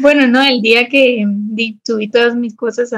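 The speaker is a woman with a fairly high pitch. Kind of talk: casual chat.

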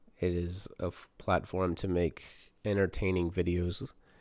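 A man with an American accent speaks in a very deep, low pitch and a flat monotone, on a very clean recording with a silent background. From US South. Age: 30s. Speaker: podcast host. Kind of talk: casual chat. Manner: unscripted, hesitant.

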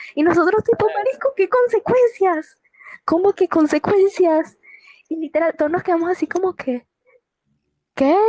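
A woman's extremely high, lively voice with a dark, mellow tone and long, frequent pauses. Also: moderate pace, dry, close sound with no echo. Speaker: podcast co-host. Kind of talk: casual chat.

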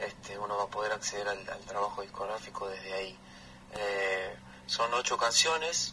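This man talks at a moderate pace in a fairly low pitch, with ordinary pitch variation. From Argentina, Buenos Aires province pampas. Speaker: folk musician. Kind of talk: radio interview. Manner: halting.

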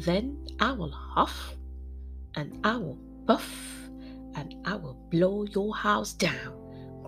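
Clear music plays in the background as a woman growls in a put-on character voice at a very slow pace with long, frequent pauses. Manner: growling, menacing.

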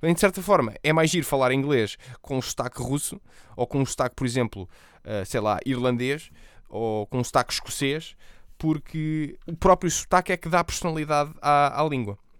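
Against a very clean, silent background, a man with a European Portuguese accent speaks at a moderate pace with lively intonation and long, frequent pauses. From Portugal. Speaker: podcast host and streamer. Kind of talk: solo podcast monologue. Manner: casual.

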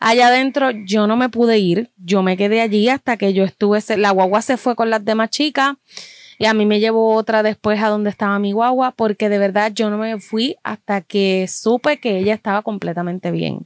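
This is an ordinary speaking voice. The recording is very clean with a silent background and a dry, close sound with no echo. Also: woman, fairly high pitch for a woman, moderate pace. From Puerto Rico. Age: 30s. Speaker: fan club member. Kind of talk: casual chat.

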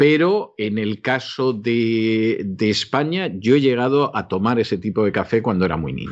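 Speaking at a fairly slow pace, a man with a plain, everyday voice uses lively intonation at a medium pitch. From Spain. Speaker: radio host. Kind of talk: casual chat.

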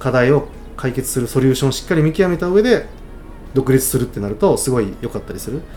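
A man's medium-pitched voice at a very fast pace, lively in intonation, over music in the background. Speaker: startup founder and angel investor. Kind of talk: casual mentoring chat.

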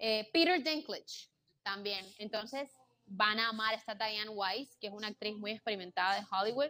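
With a bright, sharp tone, a woman speaks at a moderate pace and fairly high pitch, using ordinary pitch variation. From Colombia, Barranquilla (Caribbean coast). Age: 20s. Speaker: content creator and entrepreneur. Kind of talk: casual interview chat.

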